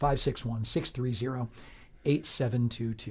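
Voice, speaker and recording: On a very clean recording with a silent background, a man talks at a fairly quick pace in a somewhat breathy voice. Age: 50s. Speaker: radio host. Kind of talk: radio interview. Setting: radio studio.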